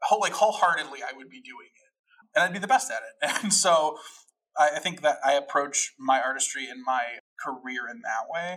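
Speaking fairly quickly with an American accent, a man uses a high pitch, a bright, sharp tone, very wide pitch swings and big swings in loudness. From Chicago area, US Midwest. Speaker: actor and director. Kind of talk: casual interview chat.

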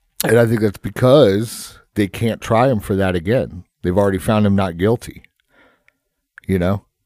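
Recorded with a dry, close sound and no echo, a man with a fairly low pitch speaks at a moderate pace with ordinary pitch variation and long, frequent pauses. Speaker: podcast host, tattoo shop owner. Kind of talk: casual chat. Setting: studio. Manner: animated when projecting, relaxes over time.

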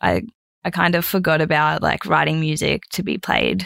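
The pace here is moderate. A woman speaks with an Australian accent. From North Queensland, Australia (Mackay). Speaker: singer-songwriter. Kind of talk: casual chat.

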